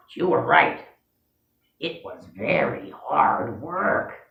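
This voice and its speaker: A very slow put-on character voice with a slight echo. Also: middle pitch. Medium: read story. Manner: fussy, anxious.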